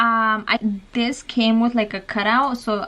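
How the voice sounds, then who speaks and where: Noticeable background noise sits behind a woman whose voice has a fairly high pitch. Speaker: mommy vlogger. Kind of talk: casual tutorial vlog.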